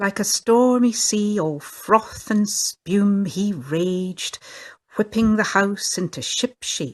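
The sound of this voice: An unforced reading voice, the background quiet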